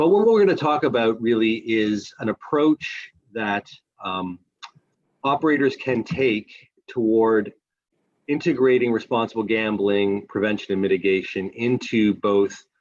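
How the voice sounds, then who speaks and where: A man with a Canadian accent speaks at medium pitch at a fairly slow pace. He has a plain, everyday voice with ordinary pitch variation. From Canada. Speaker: responsible gambling manager at a casino company. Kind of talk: webinar presentation.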